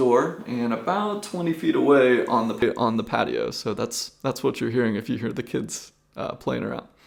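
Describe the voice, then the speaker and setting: Noticeable background noise is present. A man talks over it at a moderate pace. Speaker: freelance videographer reviewing audio gear. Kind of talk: tutorial. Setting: indoor room at home with acoustic treatment. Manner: lower volume, close to mic. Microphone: multiple mics compared, some far away.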